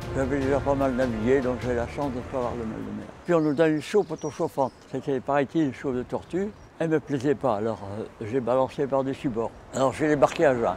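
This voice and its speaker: The pace is fairly quick, with ordinary pitch variation. Noticeable background noise is present. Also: man, medium pitch for a man. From Brittany, France. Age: 80s+. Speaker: war veteran. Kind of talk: interview answer.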